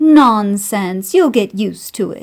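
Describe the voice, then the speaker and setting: A woman puts on a character voice. She speaks at a medium pitch and a fairly slow pace. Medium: read story. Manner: grand, showy.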